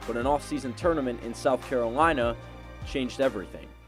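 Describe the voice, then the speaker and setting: Music sounds in the background. Over it, a man talks at a very fast pace. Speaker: sports reporter and anchor. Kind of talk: TV sports news reporting.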